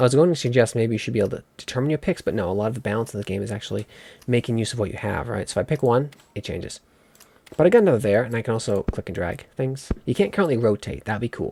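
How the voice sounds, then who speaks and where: His tone is dark and mellow. The man speaks at a very fast pace. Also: medium pitch for a man, ordinary pitch variation. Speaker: gaming video creator. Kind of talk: gameplay commentary. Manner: casual, halting with restarts.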